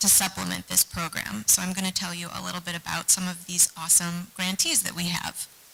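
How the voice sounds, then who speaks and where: Soft-spoken and fairly quick, a woman talks at a fairly low pitch against noticeable background noise. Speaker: historic preservation nonprofit staff presenting grants. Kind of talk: meeting presentation.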